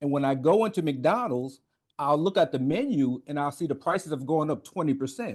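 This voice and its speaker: A man talks at a fairly quick pace, his fairly high voice carrying lively intonation. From New York, Brooklyn (East Flatbush). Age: 50s. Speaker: navy veteran, author. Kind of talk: interview.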